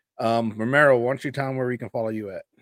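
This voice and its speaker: A man's normal speaking voice at medium pitch, very clean recording, silent background. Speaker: sports podcast host. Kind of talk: casual chat.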